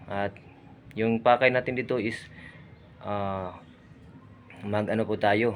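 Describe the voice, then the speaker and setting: A man speaks with a Visayan accent. His pitch is fairly low. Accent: Visayan-accented Tagalog. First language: Cebuano (Bisaya) (speaking Tagalog). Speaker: vlogger. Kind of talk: casual vlog narration. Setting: outdoors at a cemetery.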